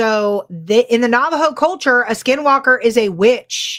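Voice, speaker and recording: In a Californian accent, a woman speaks at a fairly slow pace with a high pitch. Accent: California. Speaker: paranormal podcast co-host. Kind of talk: casual chat. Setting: live stream.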